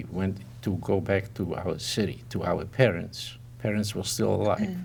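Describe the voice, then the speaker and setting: A man's fairly low pitch with vocal fry at a moderate pace. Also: lively intonation. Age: 80s+. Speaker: Holocaust survivor. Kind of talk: interview answer.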